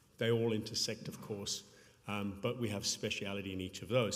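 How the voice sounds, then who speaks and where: A man's voice with audible room echo. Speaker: payments company public sector executive. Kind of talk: conference talk. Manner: fast.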